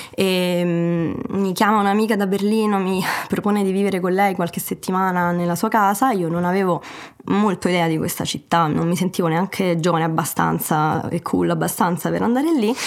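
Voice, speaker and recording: A woman at a medium pitch, fairly quick, with fairly even intonation, very even loudness and a plain, everyday voice. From Italy and Germany. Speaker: guest, remote-working traveller. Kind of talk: interview, personal story.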